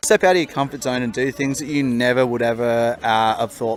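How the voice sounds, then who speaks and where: A man with an Australian accent, ordinary pitch variation and noticeable background noise. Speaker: solo traveller. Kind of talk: interview answer.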